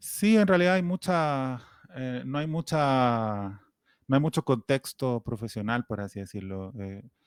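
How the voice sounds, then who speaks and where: With a strong Chilean accent, a man speaks at a fairly slow pace and a medium pitch, his pitch swinging very widely and his loudness in big swings, on a very clean recording with a silent background and a dry, close sound with no echo. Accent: Chilean, still strong. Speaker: writer. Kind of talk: interview.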